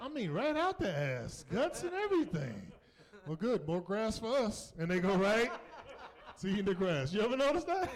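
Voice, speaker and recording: A high-voiced man with an American accent and very wide pitch swings, amid noticeable background noise and audible room echo. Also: moderate pace. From US South, North Carolina. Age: 50s. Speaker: comedian. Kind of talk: stand-up. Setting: stage with audience. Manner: animated.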